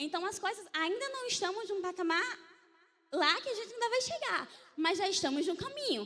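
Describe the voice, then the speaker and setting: A woman with a bright, sharp, animated tone projects her voice at an extremely high pitch and a moderate pace. Room echo is audible. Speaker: church media team leader. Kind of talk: church conference talk.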